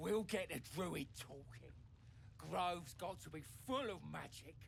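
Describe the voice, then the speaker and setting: Over clear background noise, a man does a put-on character voice at a fairly slow pace. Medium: video game. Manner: curt, bossy.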